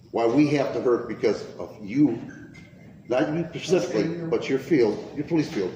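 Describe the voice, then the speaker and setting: With an American accent and lively intonation, a man speaks at a moderate pace amid audible room echo. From Detroit. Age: 70s. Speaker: citizen. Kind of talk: heated complaint. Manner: emphatic.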